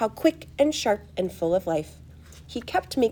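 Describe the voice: Someone reads aloud plainly. The reading is plain from start to finish.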